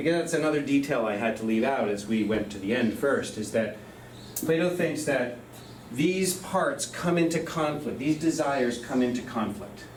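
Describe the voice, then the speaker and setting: A man speaks with lively intonation at a moderate pace and fairly high pitch. Noticeable background noise and audible room echo surround him. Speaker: professor. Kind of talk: lecture.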